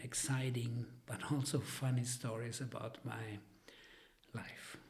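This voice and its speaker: Somewhat breathy and very slow, a man speaks amid audible room echo. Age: 70s. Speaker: retired engineer. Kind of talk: interview storytelling. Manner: halting, many fillers.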